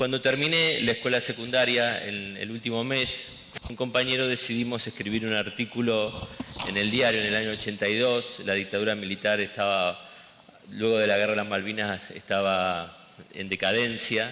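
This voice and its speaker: A man with an Argentine accent, fairly low pitch, fairly even intonation and a moderate pace, over noticeable background noise. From Argentina. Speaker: education director. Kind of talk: interview.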